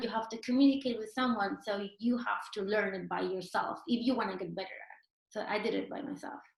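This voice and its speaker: Fairly quick speech from a woman with a Peruvian accent, fairly high in pitch and fairly even in intonation. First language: Spanish. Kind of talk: interview answer.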